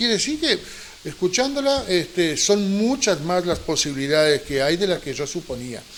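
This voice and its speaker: A high-pitched male voice at a moderate pace, with very wide pitch swings. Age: 50s to early 60s. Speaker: TV show host. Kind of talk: TV interview.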